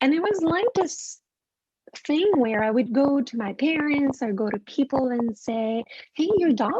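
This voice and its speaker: The voice carries a French Canadian accent. Its pitch swings very widely. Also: woman. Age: 40s. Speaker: animal communicator. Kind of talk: interview storytelling.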